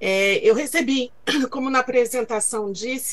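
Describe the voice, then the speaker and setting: Speech moves along fairly slowly. Its intonation hardly shifts, staying fairly even. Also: woman. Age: 50s. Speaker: screenwriter. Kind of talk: pitch presentation.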